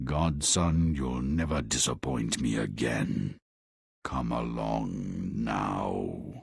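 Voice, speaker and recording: A put-on character voice comes out raspy. It moves at a very slow pace. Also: man, very deep, low pitch for a man. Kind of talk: video game character dialogue.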